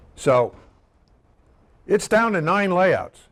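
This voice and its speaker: A man talks fairly slowly, his intonation lively. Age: 70s. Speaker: bowling ball designer and seminar presenter. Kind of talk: seminar lecture. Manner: casual, joking.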